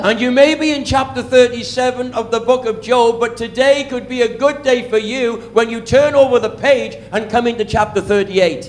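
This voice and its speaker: With a Welsh accent, a man speaks at an extremely high pitch and a moderate pace, barely pausing, his intonation fairly even over noticeable background noise. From Wales. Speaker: preacher. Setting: church sermon. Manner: preaches in short phrases paused for an interpreter.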